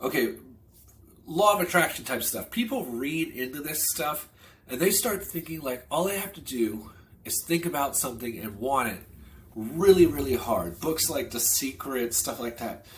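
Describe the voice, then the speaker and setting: With very wide pitch swings and big swings in loudness, a man speaks in a fairly high, somewhat breathy voice. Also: moderate pace. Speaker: online business vlogger. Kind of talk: casual vlog monologue. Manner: conversational, loose with fillers.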